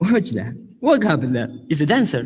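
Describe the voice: A man speaks with an Argentine accent at a fairly high pitch, with big pitch swings. His voice has a husky, rough edge and a slightly mellow tone. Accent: Argentinian Spanish.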